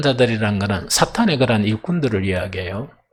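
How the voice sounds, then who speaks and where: An animated man with a Gyeongsang accent speaks with very wide pitch swings. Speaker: pastor. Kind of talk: sermon. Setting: church.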